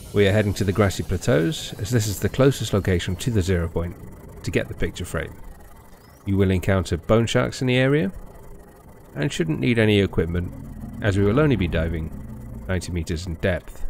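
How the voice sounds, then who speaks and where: A man with a British accent, very deep and low in pitch, with lively intonation and long, frequent pauses. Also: fairly quick pace. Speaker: gaming YouTuber. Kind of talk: game guide narration.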